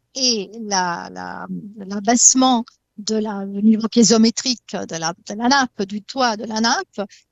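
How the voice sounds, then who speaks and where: A woman speaks very slowly with an Italian accent. Her pitch is fairly high, with ordinary variation. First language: Italian (speaking French). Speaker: hydrogeologist. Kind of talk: talk show debate. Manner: halting, many hesitations and repetitions.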